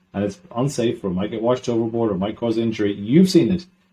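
A man with a southern Irish accent talks at a very fast pace in a medium pitch, his tone dark and mellow. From southern Ireland. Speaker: maritime sustainability consultant. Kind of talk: interview.

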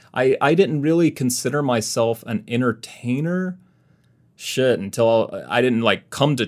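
In a very clean recording with a silent background, a man with an American accent has an ordinary speaking voice at medium pitch. He talks at a fairly slow pace with lively intonation. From US South, Mississippi. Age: 30s. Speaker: classical guitarist and YouTuber. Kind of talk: casual interview chat.

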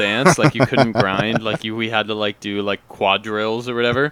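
The sound is dry and close with no echo, though noticeable background noise is present. Speech moves at a moderate pace with ordinary pitch variation. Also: man, medium pitch for a man. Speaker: podcast co-host. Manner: casual, many filler words.

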